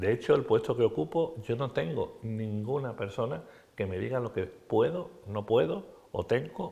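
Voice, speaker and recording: Vocal fry runs through this man's voice at a medium pitch. His pace is fairly slow. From Andalusia, Spain. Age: 60s. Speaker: politician. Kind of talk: TV interview. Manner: animated.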